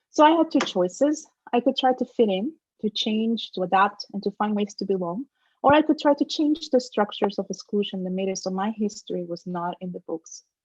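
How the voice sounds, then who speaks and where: A woman with a Spanish accent, a fairly high pitch, somewhat breathy, with lively intonation and a fairly quick pace. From Dominican Republic, then Trenton, New Jersey from age 12. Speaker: professor, keynote speaker. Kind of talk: keynote lecture.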